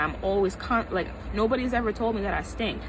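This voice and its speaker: A woman with an American accent at a fairly quick pace, over noticeable background noise. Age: 20s. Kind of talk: casual talk to camera. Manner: animated, emphatic.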